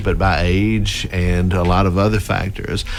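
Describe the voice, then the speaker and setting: Through noticeable background noise and audible room echo, a man speaks with a very deep, low pitch. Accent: Mississippi. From Mississippi. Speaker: university president. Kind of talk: radio interview. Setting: radio studio.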